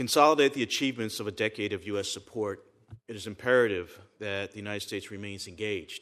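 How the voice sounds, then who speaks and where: A man with an ordinary speaking voice talks at a fairly quick pace with fairly low pitch and fairly even intonation, over a quiet background. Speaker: former government official, policy expert. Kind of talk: testimony.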